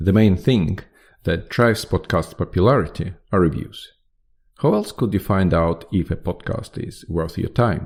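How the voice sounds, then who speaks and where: This man has a very deep, low pitch. He speaks with a non-native accent. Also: ordinary pitch variation, moderate pace. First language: not English. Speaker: podcast host. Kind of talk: podcast monologue. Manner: halting.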